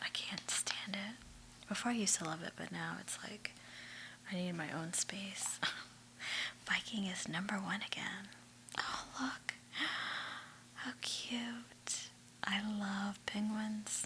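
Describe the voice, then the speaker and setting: A woman whispering at a very slow pace with long, frequent pauses, over noticeable background noise. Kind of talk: ASMR magazine read-through with chit chat. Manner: soft-spoken.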